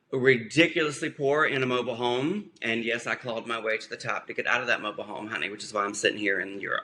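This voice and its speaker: Against noticeable background noise, a man with a medium pitch speaks in an animated tone with ordinary pitch variation. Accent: American. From US South, South Carolina. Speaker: podcast co-host, hair and makeup artist, ex-Marine. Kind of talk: casual chat.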